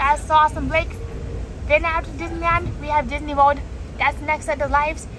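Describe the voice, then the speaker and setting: Over noticeable background noise, a woman with an American accent talks at a fairly quick pace, broken by long, frequent pauses. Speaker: travel livestreamer. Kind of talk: live travel commentary. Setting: on a moving train. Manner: animated.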